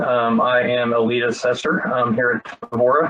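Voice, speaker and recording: A man speaks with a Texas accent. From Texas, Frisco area. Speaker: cybersecurity assessor. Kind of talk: webinar presentation. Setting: online webinar. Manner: many filler words (um, uh).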